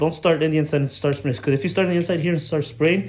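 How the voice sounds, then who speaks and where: Audible room echo surrounds a man's somewhat breathy, fairly high voice, which has fairly even intonation. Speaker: RC hobbyist video maker. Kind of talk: tutorial. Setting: garage. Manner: casual, informal.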